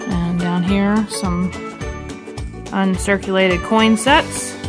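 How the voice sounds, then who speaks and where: Speech moves at a very slow pace. Clear music plays in the background. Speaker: auction house presenter. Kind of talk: auction preview presentation to camera. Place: hall. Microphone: phone near.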